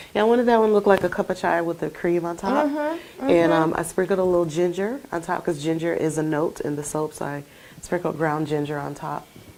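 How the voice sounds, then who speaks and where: A woman talks at a very fast pace with a fairly low voice. Noticeable background noise sits behind her. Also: ordinary pitch variation, hardly any pauses. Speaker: skincare small business owner. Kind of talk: interview answer. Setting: studio.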